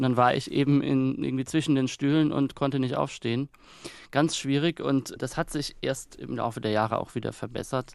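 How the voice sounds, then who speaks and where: At a moderate pace, a man with a normal speaking voice keeps a medium pitch and fairly even intonation. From Kaiserslautern, Palatinate, Germany. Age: 30s. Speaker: author and newspaper editor. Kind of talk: radio interview. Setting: remote line from Berlin.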